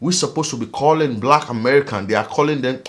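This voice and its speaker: A man speaks with an African accent. His pitch is fairly high, with ordinary pitch variation. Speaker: vlogger. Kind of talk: casual monologue vlog. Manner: animated.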